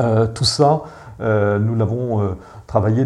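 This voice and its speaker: A man speaks with a dark, mellow tone. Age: 50s. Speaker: urban renewal company director. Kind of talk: interview. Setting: his office. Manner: halting, many repetitions and fillers.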